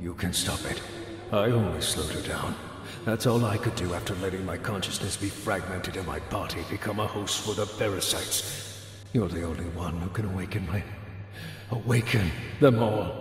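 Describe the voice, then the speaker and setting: Using a put-on character voice, a man speaks at a moderate pace amid strong echo. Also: fairly low pitch for a man. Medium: video game.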